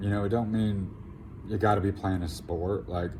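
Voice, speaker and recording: A somewhat breathy, dark, mellow voice at a moderate pace, with ordinary pitch variation and audible room echo. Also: man. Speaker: tarot reader. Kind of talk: tarot reading to camera. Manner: casual, rambling with fillers.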